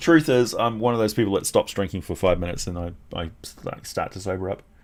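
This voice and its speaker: A man with a New Zealand accent talks at a very fast pace and a fairly low pitch, with lively intonation and big swings in loudness. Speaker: streamer. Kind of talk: casual chat. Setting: live stream. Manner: careful.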